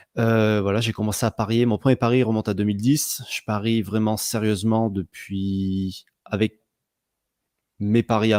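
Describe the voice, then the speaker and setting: A man's fairly low, dark, mellow voice at a fairly slow pace, monotone and flat, dry and close with no echo, in a very clean recording with a silent background. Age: 30s. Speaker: sports betting blogger. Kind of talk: interview. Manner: hesitant, many fillers and repetitions.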